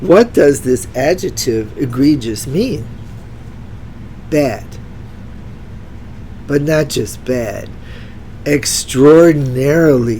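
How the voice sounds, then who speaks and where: A woman talks at a very slow pace with long, frequent pauses, her pitch very deep and low with ordinary variation. Noticeable background noise sits behind her. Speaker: retired teacher. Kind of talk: educational vocabulary talk to camera. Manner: casual, enthusiastic.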